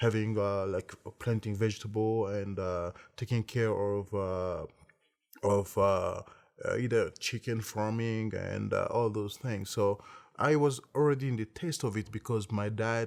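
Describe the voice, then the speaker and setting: A man speaks in a fairly low voice with an African accent. His pace is fairly slow and his intonation fairly even. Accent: African French-speaker accent in English. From Congo. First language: French. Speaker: entrepreneur, beverage company CEO. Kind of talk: interview monologue. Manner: halting, many fillers and repetitions.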